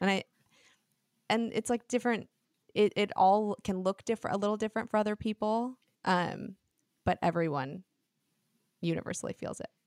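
Recorded very cleanly against a silent background, with a dry, close sound and no echo, a woman speaks at medium pitch and a moderate pace, using ordinary pitch variation and long, frequent pauses. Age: 20s. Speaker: podcast host. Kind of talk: casual chat.

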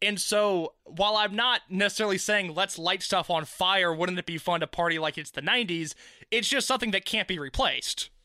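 The background is silent on this very clean recording. Words come at a moderate pace. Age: 20s. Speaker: music podcast host. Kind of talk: casual chat.

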